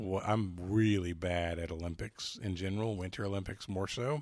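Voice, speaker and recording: A man with an unremarkable speaking voice talks at a moderate pace. His pitch is fairly low, and his intonation is fairly even. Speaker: podcast host and trivia contestant. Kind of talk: casual banter in a trivia game. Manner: joking, playful.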